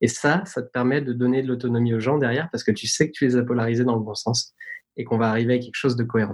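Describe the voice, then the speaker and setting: A man speaks at a very fast pace. His pitch is medium and his intonation fairly even. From French Alps (Tignes, Savoie). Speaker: tech company product executive. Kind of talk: interview.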